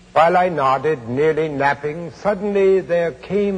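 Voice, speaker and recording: Very slowly, a man speaks with an American accent. Background noise is noticeable. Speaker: actor. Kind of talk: poetry reading. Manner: dark, melancholic, hypnotic.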